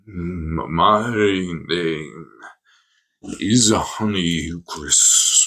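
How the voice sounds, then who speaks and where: The man puts on a character voice. It sits at a very deep, low pitch. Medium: actual play. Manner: slow, solemn, formal.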